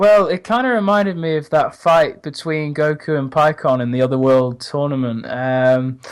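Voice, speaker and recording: A man with a fairly high pitch speaks at a moderate pace with lively intonation. He hardly pauses at all. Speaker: guest co-host. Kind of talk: casual anime review talk.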